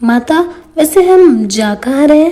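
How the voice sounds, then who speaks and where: A woman puts on a cartoonish character voice. It sits at a high pitch. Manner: respectful, deferential.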